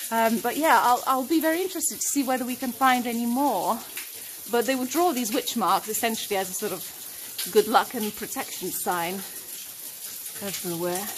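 Light background noise runs through the clip. Over it, a woman speaks at a moderate pace. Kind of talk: exploration commentary. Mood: fascinated, excited. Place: tunnel cave. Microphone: phone near.

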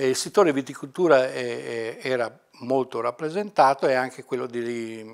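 The speech moves at a fairly slow pace with ordinary pitch variation against a quiet background. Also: man. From Italy, Mantua province (Lombardy); Lombardy, Italy. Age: 60s. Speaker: retired university librarian. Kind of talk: oral history interview. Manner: halting, many fillers. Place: office.

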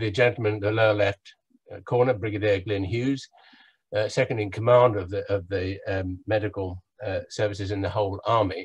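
Ordinary pitch variation and a somewhat breathy quality come through over a quiet background. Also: man. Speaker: professor of oral medicine and medical historian. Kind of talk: lecture. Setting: video call.

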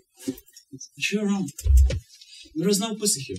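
The speaking pace is moderate. Behind the voice, music can be heard. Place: stage. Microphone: camera far.

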